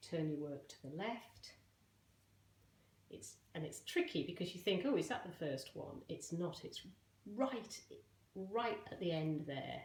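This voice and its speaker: Amid audible room echo, a woman speaks fairly slowly in a somewhat breathy voice with lively intonation. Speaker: crochet teacher. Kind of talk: tutorial.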